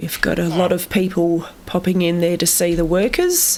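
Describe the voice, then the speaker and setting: A woman with an Australian accent speaks at medium pitch. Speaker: gaming video creator. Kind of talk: casual gameplay commentary.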